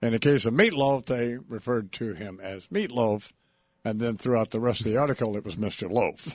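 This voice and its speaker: A man speaks at a medium pitch and a moderate pace, with ordinary pitch variation. It is an ordinary speaking voice. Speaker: radio host. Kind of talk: radio interview.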